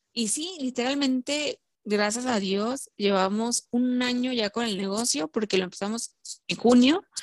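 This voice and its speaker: The voice moves at a fairly slow pace with ordinary pitch variation, in a dry, close sound with no echo. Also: woman, high pitch for a woman. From Mexico, Puebla. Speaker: psychologist and entrepreneur, football fan. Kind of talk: casual interview.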